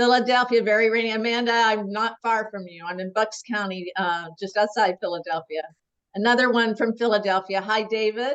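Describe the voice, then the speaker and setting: This woman, with an American accent and an ordinary speaking voice, talks at a fairly high pitch and a fairly quick pace. Her intonation is fairly even, but her loudness swings widely. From Oklahoma. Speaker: webinar host. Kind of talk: casual chat.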